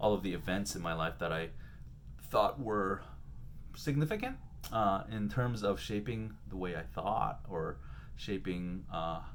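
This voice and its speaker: A man with a very deep, low voice and vocal fry speaks fairly slowly with lively intonation. He takes long, frequent pauses, and room echo is audible. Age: 30s. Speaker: vlogger doing a daily challenge. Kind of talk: casual personal video diary. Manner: many fillers and hesitations.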